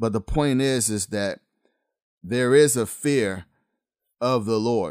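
A man speaks at a very slow pace, medium in pitch with ordinary pitch variation. The sound is dry and close, with no echo. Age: 50s. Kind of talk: podcast monologue, preaching commentary. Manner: casual, urban-flavored delivery.

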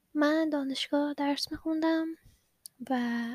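A woman with fairly even intonation. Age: 20s. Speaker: podcast host and product designer. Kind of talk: personal storytelling monologue.

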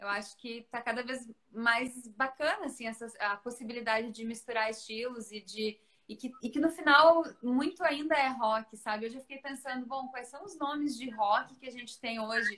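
A woman at a high pitch with a bright, sharp tone, ordinary pitch variation, a moderate pace and big swings in loudness. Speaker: radio presenter. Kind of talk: casual interview.

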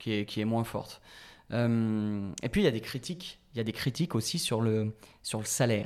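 This is an ordinary speaking voice. A man talks at a medium pitch and moderate pace, with ordinary pitch variation. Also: very clean recording, silent background. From western France (La Rochelle). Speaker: podcast host. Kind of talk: casual chat.

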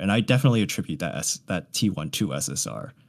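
Vocal fry in an American accent, with very wide pitch swings, on a very clean recording with a silent background. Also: man. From US. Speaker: game community member and fan translator. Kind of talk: casual interview chat.

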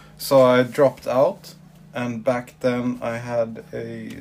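Very slow speech over noticeable background noise. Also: man. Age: 30s. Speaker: tattoo artist. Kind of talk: interview.

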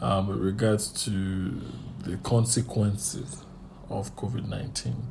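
A man's fairly low pitch with ordinary pitch variation and audible room echo. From Nigeria. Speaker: therapist. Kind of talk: casual chat.

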